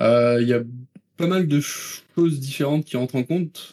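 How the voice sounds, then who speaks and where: A man with a dark, mellow tone is heard in a dry, close sound with no echo. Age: 20s. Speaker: video game producer. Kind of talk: interview.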